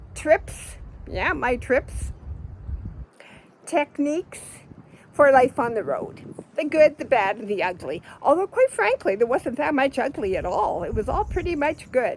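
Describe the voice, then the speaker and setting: Against noticeable background noise, a woman speaks at a fairly slow pace and high pitch with very wide pitch swings and long, frequent pauses. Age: 70s. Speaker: vlogger living on the road. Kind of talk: casual monologue vlog. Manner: halting, self-correcting.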